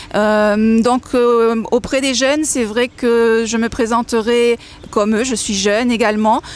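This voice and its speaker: The speech has fairly even intonation over noticeable background noise. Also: woman. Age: 20s. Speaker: substitute election candidate. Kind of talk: interview. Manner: hesitant, many fillers.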